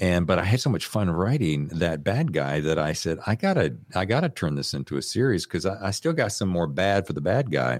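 A man's very deep, low voice with an American accent and vocal fry, lively in intonation, fairly quick with hardly any pauses, in a very clean recording with a silent background. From North Carolina. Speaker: author and former radio host. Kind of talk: interview.

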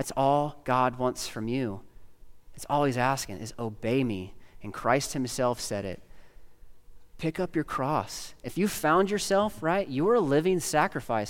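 Over a silent background in a very clean recording, a man talks at a fairly slow pace with very wide pitch swings. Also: medium pitch for a man. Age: 30s. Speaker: pastor. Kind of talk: sermon. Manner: halting.

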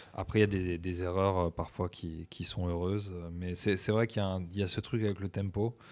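His voice is very deep and low in pitch for a man, and he talks at a fairly slow rate with fairly even intonation. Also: very clean recording, silent background. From French provinces. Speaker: DJ and music producer. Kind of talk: long-form interview.

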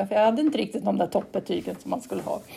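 A woman is speaking. Her tone is dark and mellow. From Sweden, Gotland. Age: 40s. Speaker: cement plant manager, geologist. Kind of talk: interview. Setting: remote call. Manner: halting, many repetitions.

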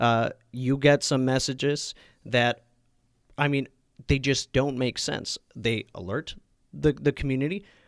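With a Californian accent, a man speaks at a fairly slow pace in a medium pitch, leaving long, frequent pauses, on a very clean recording with a silent background and a dry, close sound with no echo. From Napa, California. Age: 20s. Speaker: city council candidate. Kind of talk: interview. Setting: studio.

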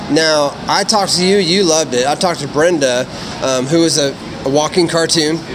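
A man talks at a fairly quick pace in a fairly high voice with ordinary pitch variation. His loudness stays very even, and there is noticeable background noise. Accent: American. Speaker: podcast host. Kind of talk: casual chat and convention interviews. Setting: convention floor. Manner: animated.

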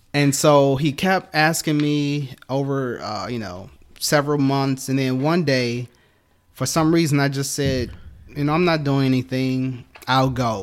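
Using a normal speaking voice, a man with an American accent talks at a fairly slow pace and fairly high pitch, with ordinary pitch variation. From Detroit, Michigan. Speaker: church teacher, actor. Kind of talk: testimony.

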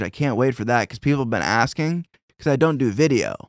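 In a dry, close recording with no echo, a man with an ordinary speaking voice talks at a medium pitch and a fairly quick pace with lively intonation. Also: very clean recording, silent background. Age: 30s. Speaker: podcast host. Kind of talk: casual chat.

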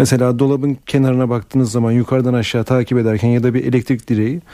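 Against a quiet background, a man speaks very fast at a medium pitch with a dark, mellow tone. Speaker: eye doctor. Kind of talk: radio call-in advice. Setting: studio.

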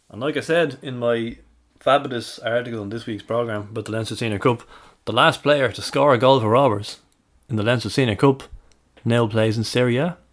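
A man with a Dublin accent at medium pitch, fairly quick pace, fairly even intonation and big swings in loudness. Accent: Irish (Dublin). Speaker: football fan podcast co-host. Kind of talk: casual chat.

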